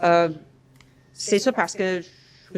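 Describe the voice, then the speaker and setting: A woman's fairly low voice with an American accent and fairly even intonation. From US Midwest, Kansas (small village). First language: English (speaking French). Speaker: university professor, researcher. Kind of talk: lecture. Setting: conference room with online audience via Zoom. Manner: hesitant, many filler sounds.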